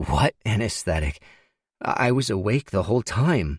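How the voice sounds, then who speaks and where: This man puts on a character voice that is raspy and hoarse, fairly low in pitch, with very wide pitch swings at a moderate pace. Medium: read story.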